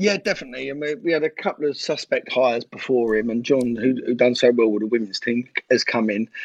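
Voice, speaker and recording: A man with a London accent at medium pitch, ordinary pitch variation, a very fast pace and hardly any pauses, in a dry, close sound with no echo. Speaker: former footballer and youth coach. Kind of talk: casual chat.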